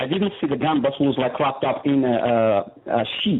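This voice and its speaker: Amid noticeable background noise, a man with an Arabic accent talks at a moderate pace with lively intonation. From Morocco. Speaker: prisoner. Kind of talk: testimony. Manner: halting.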